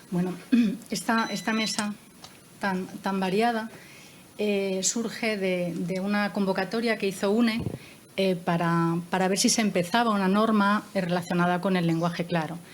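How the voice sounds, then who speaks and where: The voice is somewhat breathy, with fairly even intonation. It moves at a fairly slow pace. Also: woman, medium pitch for a woman. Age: 60s. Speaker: moderator of a panel discussion. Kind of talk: panel discussion. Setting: panel with armchairs and table. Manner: hesitant, with many fillers.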